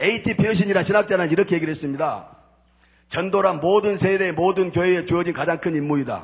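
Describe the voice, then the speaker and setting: A man speaks at a very fast pace. His voice is high, with fairly even intonation. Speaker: former gangster turned church deacon giving testimony. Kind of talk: church testimony sermon.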